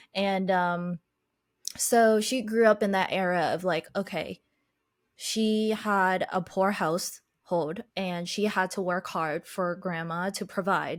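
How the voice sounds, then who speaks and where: Recorded very cleanly against a silent background, a woman talks at a very slow pace with fairly even intonation. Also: medium pitch for a woman. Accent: Chinese. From Boston, US (Chinese family, moved around a lot). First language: Chinese. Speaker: podcaster and life coach. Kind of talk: podcast interview, personal story.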